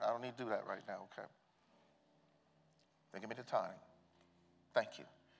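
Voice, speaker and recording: A man with an American accent talks at a fairly quick pace, broken by long, frequent pauses. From Southern United States. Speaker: preacher, bishop. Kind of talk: church sermon. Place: church. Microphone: lapel.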